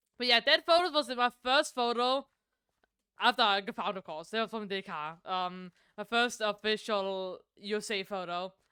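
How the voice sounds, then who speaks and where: In a Danish accent, a woman speaks at a moderate pace with lively intonation, a bright, sharp tone and fairly high pitch, in a dry, close sound with no echo on a very clean recording with a silent background. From Denmark. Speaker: streamer. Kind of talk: casual chat. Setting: live stream. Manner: halting, many fillers and restarts.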